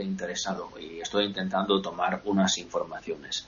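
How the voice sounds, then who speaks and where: A man's fairly low-pitched voice over noticeable background noise. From Italy, Veneto (Vicenza province). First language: Italian (speaking Spanish). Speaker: guest speaking about his home region. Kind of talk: casual chat.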